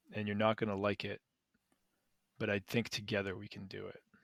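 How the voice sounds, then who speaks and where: A man puts on a raspy character voice, talking at a fairly quick pace with flat, monotone intonation, a fairly low pitch, and big swings in loudness, all in a dry, close sound with no echo. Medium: actual play.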